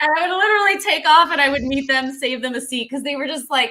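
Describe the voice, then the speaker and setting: With noticeable background noise around her, a woman speaks in a raised, projected voice. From New England, Rhode Island. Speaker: podcast host. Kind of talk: interview. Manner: fast.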